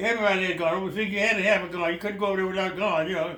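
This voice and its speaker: A man speaks in a raised, projected voice with a high pitch, over noticeable background noise. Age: 90s. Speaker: World War II veteran. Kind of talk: interview answer. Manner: halting, repetitive.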